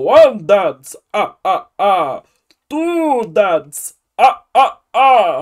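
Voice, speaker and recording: At a very slow pace, the speaker uses a put-on character voice with a high pitch. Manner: playful, counting.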